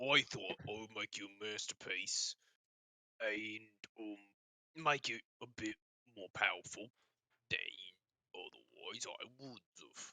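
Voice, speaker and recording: A strained, put-on character voice from a man, medium in pitch, fairly slow with long, frequent pauses and big swings in loudness, in a dry, close sound with no echo. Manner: boastful, self-satisfied.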